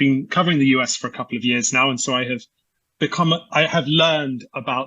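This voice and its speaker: Speaking with a British accent, a man talks at a fairly quick pace. His pitch is fairly high, with ordinary pitch variation. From UK. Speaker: energy research analyst. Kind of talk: podcast interview. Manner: halting with many repetitions and fillers.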